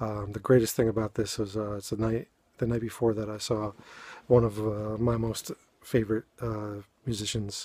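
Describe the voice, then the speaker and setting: A man speaks at a moderate pace in a dark, mellow tone with a New England accent, his intonation monotone and flat. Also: fairly low pitch for a man. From New England, Boston (Dorchester). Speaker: amateur poet and video blogger. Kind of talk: casual talk introducing poetry readings. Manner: halting, many fillers.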